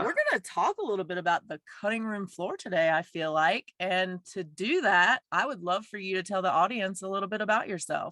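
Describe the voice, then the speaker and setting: A woman's plain, everyday voice at a medium pitch with ordinary pitch variation, fairly quick in pace, with a dry, close sound with no echo. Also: hardly any pauses. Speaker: podcast host. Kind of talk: podcast interview host.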